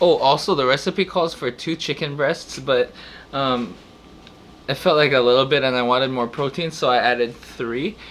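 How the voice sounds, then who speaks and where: A man mumbles at a moderate pace. His pitch is fairly high, with ordinary pitch variation. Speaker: home cook, meal prep video host. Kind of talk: casual cooking talk to camera. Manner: hesitant, stuttering, mumbling.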